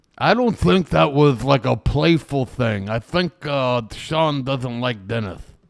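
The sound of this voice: Speaking with vocal fry, a man talks at a medium pitch and a fairly slow pace. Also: lively intonation.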